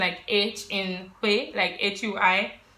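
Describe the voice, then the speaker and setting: In an audible room echo, a woman of medium pitch speaks with a Jamaican accent. Noticeable background noise runs underneath. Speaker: vlogger. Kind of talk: personal vlog talking to camera. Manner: casual, conversational with fillers.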